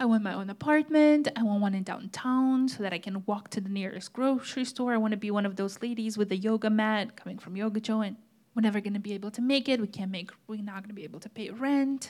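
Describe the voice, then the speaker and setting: Somewhat breathy, the voice races at a very fast pace with hardly any pauses and ordinary pitch variation. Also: woman. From Moldova. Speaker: church teacher. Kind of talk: sermon. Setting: church stage with audience.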